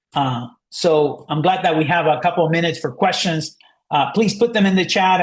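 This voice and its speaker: A man with a non-native accent speaks very fast. His pitch variation is ordinary, and the background is quiet. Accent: foreign. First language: not English. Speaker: marketing agency founder giving a webinar. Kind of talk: webinar presentation. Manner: halting, many fillers.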